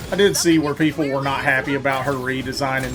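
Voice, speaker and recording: A man with a fairly high voice is heard as music plays in the background. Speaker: gaming streamer. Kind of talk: live gameplay commentary. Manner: halting.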